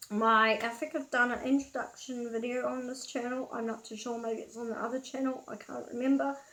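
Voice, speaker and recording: The speaker is a woman with a New Zealand accent. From New Zealand, Auckland. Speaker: vlogger. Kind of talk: casual storytelling vlog. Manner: casual, hesitant with fillers.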